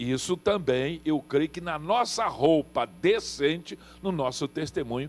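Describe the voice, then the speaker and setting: A man's fairly high voice, fairly slow in pace, with lively intonation. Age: 60s. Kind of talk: TV panel discussion. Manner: animated.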